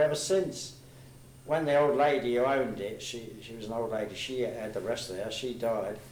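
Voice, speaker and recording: Room echo is audible, along with noticeable background noise. A man speaks at a moderate pace with ordinary pitch variation. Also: big swings in loudness. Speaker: war veteran, football supporter. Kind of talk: casual chat. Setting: reminiscence group meeting.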